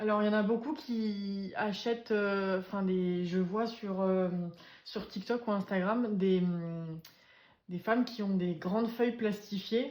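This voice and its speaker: A woman of medium pitch speaks at a fairly slow pace with ordinary pitch variation. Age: 20s. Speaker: budgeting vlogger. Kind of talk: casual tutorial. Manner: hesitant, many fillers.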